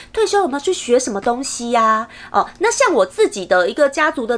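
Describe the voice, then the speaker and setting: The pace is moderate as a woman talks. Her pitch rises and falls very widely. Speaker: podcast host. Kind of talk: casual solo podcast talk.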